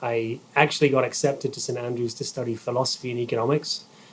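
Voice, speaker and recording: With noticeable background noise, a man speaks at a moderate pace and medium pitch in a monotone, flat intonation. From England, rural Herefordshire. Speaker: golf engineering executive. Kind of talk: podcast interview.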